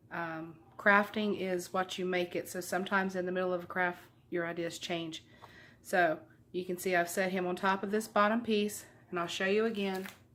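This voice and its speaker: Speaking in a Southern US accent, a woman keeps a moderate pace. Her intonation is monotone and flat. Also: medium pitch for a woman. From US South. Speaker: craft YouTuber. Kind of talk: tutorial. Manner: casual.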